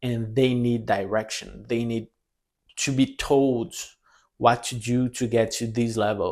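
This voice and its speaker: A man talks at a fairly slow pace with a non-native accent. His pitch is medium and his intonation fairly even. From Brazil. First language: Portuguese. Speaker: language teacher and content creator. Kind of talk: casual vlog monologue. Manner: halting, with fillers and repetitions.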